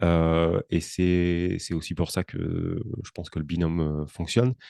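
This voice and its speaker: A man speaks with a very deep, low voice and a dark, mellow tone. The sound is dry and close with no echo, against a quiet background. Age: 30s. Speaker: entrepreneur and podcaster. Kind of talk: interview. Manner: halting, many hesitations.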